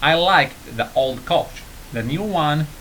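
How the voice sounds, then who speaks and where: A man speaks with an Arabic accent and lively intonation. Noticeable background noise runs beneath his voice. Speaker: English teacher on video channel. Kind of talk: tutorial. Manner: halting, many fillers and repeats.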